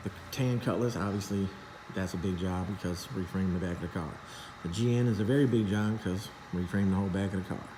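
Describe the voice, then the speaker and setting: With noticeable background noise and audible room echo, a man talks at a very fast pace with a fairly low pitch and fairly even intonation. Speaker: custom car shop owner. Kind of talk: casual workshop vlog. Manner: stuttering, disjointed.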